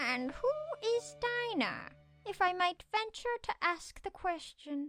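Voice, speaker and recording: The voice is a put-on character voice with extremely high pitch. It moves at a fairly slow pace. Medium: audio drama.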